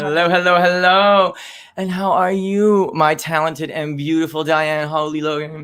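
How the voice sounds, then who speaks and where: The man's pitch is fairly high, and he talks at a moderate pace. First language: not English. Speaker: comedy livestream host. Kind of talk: casual chat. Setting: livestream video call. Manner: animated.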